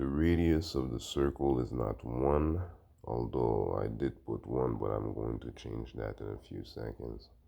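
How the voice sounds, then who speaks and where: A man speaks at a fairly slow pace. His very deep, low voice has a dark, mellow tone. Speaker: math video creator. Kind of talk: tutorial. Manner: flat, low-energy.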